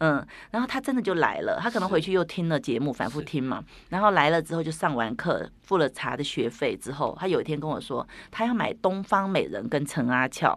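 Against a quiet background, a woman with a fairly low pitch speaks at a fairly quick pace with very wide pitch swings. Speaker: tea studio podcaster. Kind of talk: casual interview.

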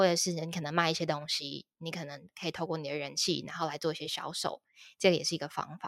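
On a very clean recording with a silent background, a woman talks at a very fast pace with a fairly low pitch and fairly even intonation. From Taiwan, Taipei. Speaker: career consultant, former HR recruiter. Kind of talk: interview. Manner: frequent fillers and hesitations.

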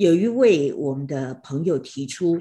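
Against a quiet background, a woman with a fairly low pitch speaks very slowly, her intonation lively. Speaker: radio host. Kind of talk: online talk moderation. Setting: online livestream talk.

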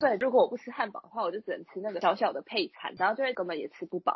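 A woman speaks at a very fast pace with very wide pitch swings. Her fairly high voice is somewhat breathy. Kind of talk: casual chat.

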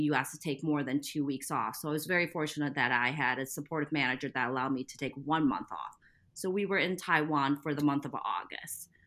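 Talking at a very fast pace with hardly any pauses, the speaker has a General American accent and ordinary pitch variation. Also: woman. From US Midwest. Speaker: parent. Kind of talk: casual interview.

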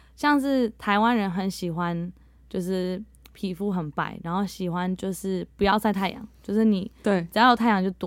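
Her pitch is medium, with ordinary pitch variation. The woman speaks at a moderate pace. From Netherlands. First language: bilingual Mandarin and English (speaking Chinese). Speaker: English teacher. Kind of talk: interview.

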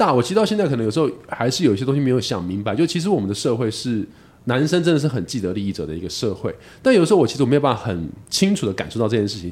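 On a very clean recording with a silent background, a man talks very fast with vocal fry and very wide pitch swings. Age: 40s. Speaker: podcast host. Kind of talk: casual chat.

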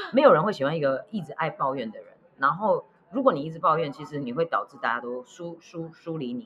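Noticeable background noise accompanies speech delivered at a very fast pace. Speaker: podcast co-host. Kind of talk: casual chat.

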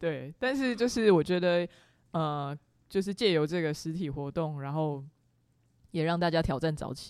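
Fairly low female voice with lively intonation, moderate pace and long, frequent pauses on a very clean recording with a silent background. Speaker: podcast host. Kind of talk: casual chat. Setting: studio.

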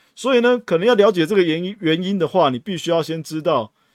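A man with a Taiwanese accent speaks at a very fast pace with lively intonation. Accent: Taiwanese Mandarin. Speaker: podcast host, retail investor. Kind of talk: solo podcast monologue. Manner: casual, frequent filler particles.

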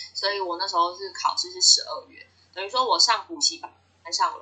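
High-pitched woman's voice with a Taiwanese accent and very wide pitch swings. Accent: Taiwanese Mandarin. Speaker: graduate student abroad. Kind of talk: interview.

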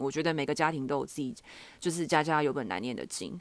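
A woman with a very deep, low voice talks at a very fast pace against a quiet background. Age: 20s. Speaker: podcast host. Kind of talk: casual solo monologue. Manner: relaxed, informal.

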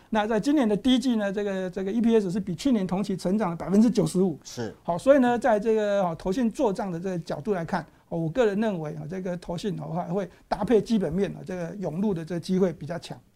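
A man talks at a very fast pace, barely pausing at all. His voice is high-pitched with ordinary pitch variation. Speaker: stock market analyst. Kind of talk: casual market analysis chat.

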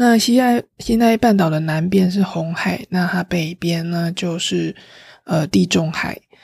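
On a very clean, dry, close recording with no echo and a silent background, a woman speaks at a fairly slow pace in a fairly low, somewhat breathy voice with ordinary pitch variation. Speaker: travel podcast host. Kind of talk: casual solo travel talk. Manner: livelier, normal chatting pace.

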